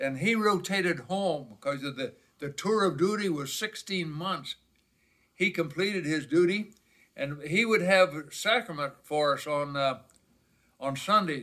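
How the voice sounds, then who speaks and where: A man with a high pitch speaks in an American accent. His pace is fairly slow, with ordinary pitch variation. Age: 90s. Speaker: Korean War veteran. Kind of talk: family life story recollection.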